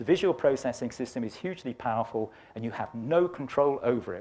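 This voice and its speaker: A man with an English accent talks at a very fast pace, medium pitch and ordinary pitch variation. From England, Birmingham. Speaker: climate science professor. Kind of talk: lecture. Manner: animated.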